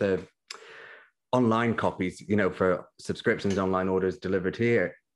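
A man speaks at a moderate pace with a British accent. His pitch sits fairly low. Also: quiet background. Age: 20s. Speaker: magazine editor. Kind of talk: casual chat.

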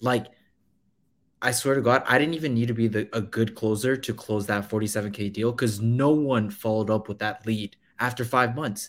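A man talks in a plain, everyday voice at medium pitch. His pace is moderate. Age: 20s. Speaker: real estate investor. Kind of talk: casual chat on live stream. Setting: joined live stream remotely.

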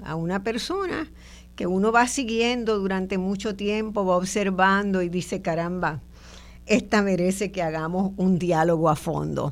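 A woman has an ordinary speaking voice at medium pitch, with ordinary pitch variation. She talks at a fairly slow pace. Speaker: radio host and sociologist. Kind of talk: radio interview. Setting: radio studio, also streamed on video.

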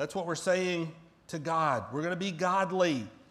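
Audible room echo surrounds a man with an American accent who speaks at a moderate pace in a high pitch. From US South, central Florida. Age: 40s. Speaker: pastor. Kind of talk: sermon.

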